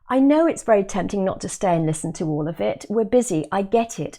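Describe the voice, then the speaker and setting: A woman with a British accent, medium pitch, very wide pitch swings and a dark, mellow tone. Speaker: exam coach. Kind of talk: webinar sales pitch. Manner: animated.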